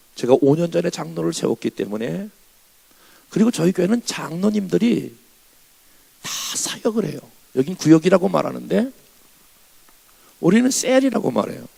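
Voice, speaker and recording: Long, frequent pauses in a man's speech at a moderate speed. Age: 60s. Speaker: revival preacher, pastor. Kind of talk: sermon. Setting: church.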